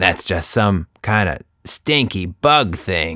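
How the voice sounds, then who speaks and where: A raspy, put-on character voice at a very slow pace, in a very clean recording with a silent background. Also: man. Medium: read story. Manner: gruff, slangy.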